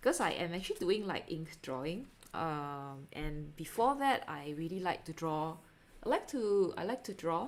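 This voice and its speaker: With a Singaporean accent, a woman talks at a moderate pace using very wide pitch swings. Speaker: artist live streamer. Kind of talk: casual live stream chat while painting. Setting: live stream at home. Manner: hesitant, many fillers. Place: home room.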